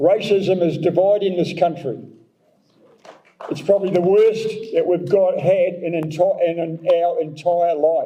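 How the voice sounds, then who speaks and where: A man with a New Zealand accent, high-pitched, at a fairly slow pace. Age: 70s. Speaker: mayoral candidate. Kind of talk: election candidate forum answer.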